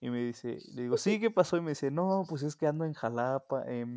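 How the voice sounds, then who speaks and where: In a very clean recording with a silent background, a man with a Mexican accent speaks at a moderate pace with ordinary pitch variation. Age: 20s. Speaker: podcast co-host. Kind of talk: casual chat.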